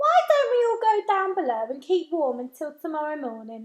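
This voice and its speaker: A squeaky, put-on character voice from a woman, extremely high in pitch, with very wide pitch swings at a moderate pace. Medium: read story.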